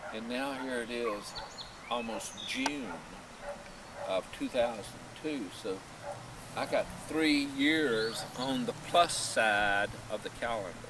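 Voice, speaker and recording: A man with an American accent speaks at a very slow pace, his pitch medium with ordinary variation. Long, frequent pauses break up his speech over noticeable background noise. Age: 60s. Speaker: family video maker. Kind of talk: casual chat.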